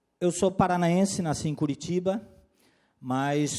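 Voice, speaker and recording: A man with a Florianópolis accent speaks at a fairly slow pace. His tone is dark and mellow, and his intonation is lively. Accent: Florianópolis (manezinho). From Florianópolis, Santa Catarina, southern Brazil. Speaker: compliance consultant and lawyer, workshop speaker. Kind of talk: lecture.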